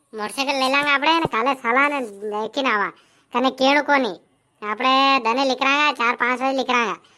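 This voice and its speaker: A woman uses a cartoonish character voice pitched high, with ordinary pitch variation and a moderate pace, in a very clean recording over a silent background. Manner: boastful, rustic.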